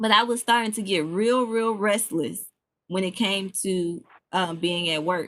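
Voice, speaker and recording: A woman's fairly slow, medium-pitched voice with an American accent, a plain, everyday voice with ordinary pitch variation. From US South (Memphis) / Chicago. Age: 20s. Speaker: podcast host and entrepreneur. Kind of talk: casual talk to an audience. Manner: casual, with many fillers and restarts.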